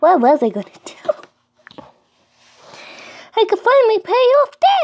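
Extremely high in pitch, this is a put-on character voice. The delivery is very slow. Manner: excited, scatterbrained.

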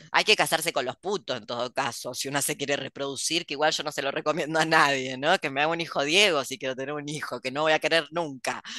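A very fast pace with hardly any pauses and fairly even intonation, in a dry sound with no echo and a quiet background. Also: woman, very deep, low pitch for a woman. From Argentina. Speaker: podcast host and writer; host. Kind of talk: casual chat. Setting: video call. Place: home room. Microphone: headset.

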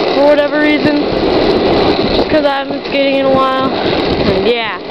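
The pace is fairly quick. Loud background noise runs underneath. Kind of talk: casual vlog chat. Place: street. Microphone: phone near.

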